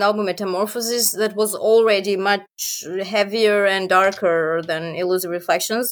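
With a Serbian accent, a woman talks at a moderate pace and medium pitch, using ordinary pitch variation. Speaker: metal band singer and vocal teacher. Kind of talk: casual interview. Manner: laughs often.

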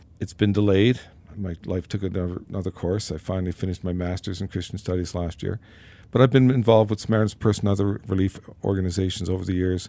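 In a very clean recording with a silent background, a man with a very deep, low pitch and a dark, mellow tone talks very fast with fairly even intonation. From Newfoundland, Canada. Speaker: surgeon. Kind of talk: testimony.

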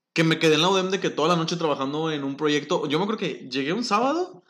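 A man talks at a fairly quick pace. His voice is high-pitched, with lively intonation. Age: 20s. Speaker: industrial engineer. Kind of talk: casual chat.

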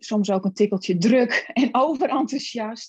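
A woman's somewhat breathy voice. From Friesland, Netherlands. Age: 40s. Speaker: personal development coach. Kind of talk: casual chat.

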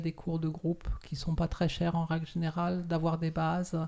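A woman's dark, mellow voice at a fairly low pitch, over a quiet background. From France. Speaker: shibari instructor. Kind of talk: interview. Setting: studio.

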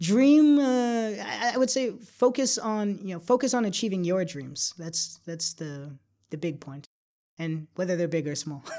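In a very clean recording with a silent background, a man with a high, dark, mellow voice speaks at a fairly slow pace with very wide pitch swings. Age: 20s. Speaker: startup founder. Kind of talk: interview. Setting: podcast interview.

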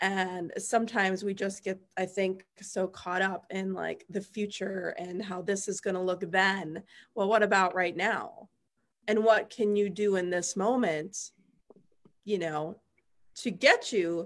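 Using a plain, everyday voice, a woman talks at medium pitch and a fairly slow pace, with fairly even intonation. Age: 30s. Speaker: spiritual coach and live-stream host. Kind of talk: casual chat. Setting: live video stream.

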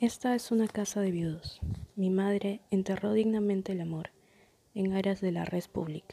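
At a moderate pace, a woman speaks in a medium pitch with a dark, mellow tone and fairly even intonation. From Peru, Lima. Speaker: poet. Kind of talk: poetry reading.

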